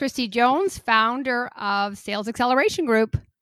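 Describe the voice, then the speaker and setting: A woman with a Canadian accent projects a raised, high-pitched voice with a bright, sharp tone. The sound is dry and close, with no echo. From Canada. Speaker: podcast host. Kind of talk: interview.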